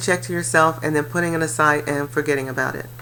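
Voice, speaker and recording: Against noticeable background noise, a woman talks in a very deep, low pitch. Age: 60s. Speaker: life coach and real estate investor. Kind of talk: personal testimony. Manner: casual, conversational with fillers.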